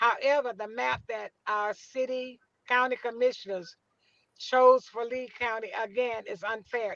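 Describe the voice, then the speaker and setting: Speaking at a fairly slow pace, a woman with an American accent holds a high pitch and fairly even intonation. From US South. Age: 80s+. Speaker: community activist. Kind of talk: casual chat.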